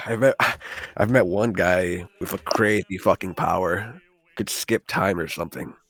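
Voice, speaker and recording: A man does a put-on character voice, raspy and fairly low. He speaks at a moderate pace, and the sound is dry and close with no echo. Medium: actual play. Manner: hesitant, chatty.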